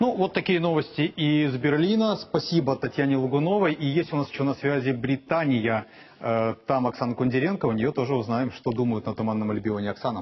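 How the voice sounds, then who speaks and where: With a normal speaking voice, the speaker moves at a fairly quick pace, using lively intonation and very even loudness. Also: man, fairly high pitch for a man. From Odesa, Ukraine. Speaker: TV news anchor. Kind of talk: live election-night broadcast. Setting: TV studio. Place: studio. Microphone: lapel.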